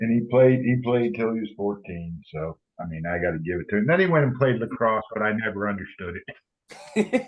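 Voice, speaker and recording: A man with a slight Southern US accent talks at a fairly quick pace with lively intonation. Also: medium pitch for a man. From US East Coast. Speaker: father guest. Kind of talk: casual chat.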